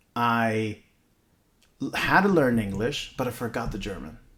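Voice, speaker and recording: A man at medium pitch, moderate pace. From Nicaragua, then US from age ten. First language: Spanish. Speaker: podcast co-host. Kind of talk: casual chat.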